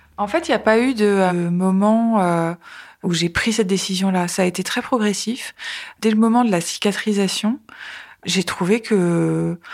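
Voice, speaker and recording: In a very clean recording with a silent background, a woman speaks at a fairly slow pace in a medium pitch with fairly even intonation. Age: 40s. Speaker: journalist sharing cancer testimony. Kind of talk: testimony. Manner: hesitant, many filler sounds.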